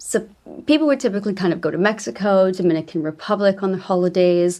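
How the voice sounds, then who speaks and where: Her tone is dark and mellow, with a Canadian accent. The woman's pitch sits at a medium level with ordinary pitch variation. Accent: Canadian, noticeable to UK listeners. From Canada, small mountain town. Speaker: travel agent. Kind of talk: podcast interview.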